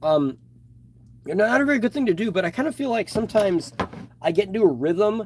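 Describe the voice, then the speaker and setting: A loud man with a high pitch talks at a fairly quick pace, his voice making very wide pitch swings. Long pauses break up his speech frequently. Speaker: toy reviewer and customizer. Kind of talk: live stream chat while customizing. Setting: live stream.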